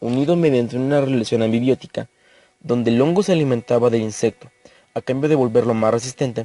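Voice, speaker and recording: Against music in the background, a man talks at a fairly quick pace and medium pitch with ordinary pitch variation, his sound dry and close with no echo. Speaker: creepypasta narrator. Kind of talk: horror story narration.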